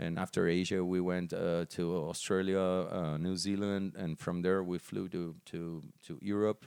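A man with a Portuguese accent speaks at a moderate pace in a very deep, low voice, his intonation flat and monotone. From Brazil. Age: 40s. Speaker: metal band musician. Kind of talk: casual interview.

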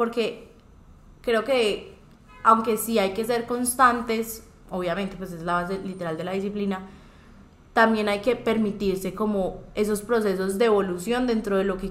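There is audible room echo as a woman speaks at a moderate pace, her medium pitch moving in fairly even intonation. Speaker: podcast host. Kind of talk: casual chat.

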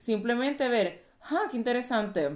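A woman speaks with a Puerto Rican accent and ordinary pitch variation against a quiet background. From Puerto Rico. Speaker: physician and life coach. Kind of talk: casual chat.

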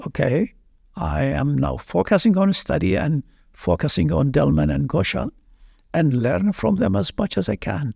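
In an Iraqi accent, a man talks at a moderate pace and fairly low pitch, his dark, mellow tone showing vocal fry and very wide pitch swings. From Iraq (Baghdad). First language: Arabic. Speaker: veterinary anatomy professor. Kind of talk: interview.

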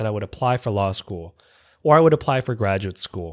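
A man with a Canadian accent and ordinary pitch variation, in a very clean recording with a silent background. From Toronto, Canada. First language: Vietnamese. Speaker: podcast host. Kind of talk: scripted narration of personal story.

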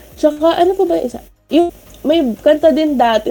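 Talking at a fairly quick pace, a woman swings her pitch very widely over noticeable background noise. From Philippines. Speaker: student radio host. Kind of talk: casual chat. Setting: remote call from home. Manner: energetic.

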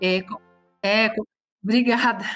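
Her pitch is fairly high. The voice belongs to a woman. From São Paulo, Brazil. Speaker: voice actress. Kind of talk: interview.

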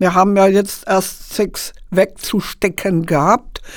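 At a very slow pace, a woman speaks in a medium pitch. The recording is very clean, with a silent background. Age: 70s. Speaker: football team volunteer. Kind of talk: casual interview.

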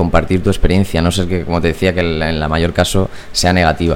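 A man's very deep, low voice with fairly even intonation, over noticeable background noise. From Puertollano, Ciudad Real, Spain. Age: 20s. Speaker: startup founder. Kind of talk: interview. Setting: studio.

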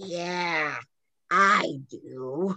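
A raspy, put-on character voice at a middle pitch. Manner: scary, eerie.

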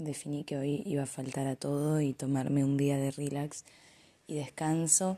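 A woman talks in a very deep, low voice. Her tone is dark and mellow. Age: 20s. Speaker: university student. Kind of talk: audio diary.

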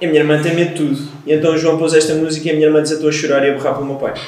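Speech comes at a very fast pace. There is audible room echo and noticeable background noise. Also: man. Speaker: podcast co-host. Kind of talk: casual chat with storytelling. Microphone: too far from the microphone.

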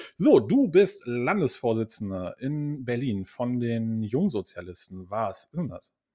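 Over a silent background in a very clean recording, the voice has a dark, mellow tone and lively intonation, moving at a very slow pace with hardly any pauses and big swings in loudness. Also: man, medium pitch for a man. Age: 30s. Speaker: podcast host. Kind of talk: interview.

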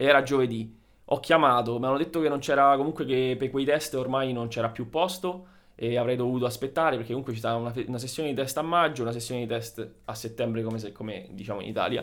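Medium in pitch with ordinary pitch variation, a man's plain, everyday voice moves at a fairly quick pace. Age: 30s. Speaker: dentist. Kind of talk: casual chat.

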